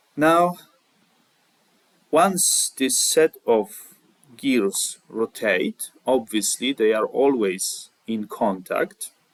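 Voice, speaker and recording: In a non-native accent, a man speaks at a very slow pace with long, frequent pauses, the sound dry and close with no echo. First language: not English. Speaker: CAD tutorial creator. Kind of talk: tutorial. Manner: halting, with many fillers.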